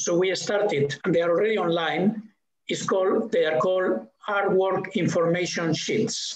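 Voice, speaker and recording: Amid audible room echo, a man with a Spanish accent speaks at a moderate pace in a high voice with ordinary pitch variation. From Spain. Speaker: museum director; guest. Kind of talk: interview conversation. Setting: video call. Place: home room. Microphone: video call.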